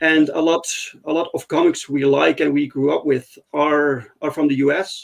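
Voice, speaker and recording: A man talks at a moderate pace. He has a Dutch accent. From Netherlands. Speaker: comics podcast host. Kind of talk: casual chat. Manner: halting, many fillers.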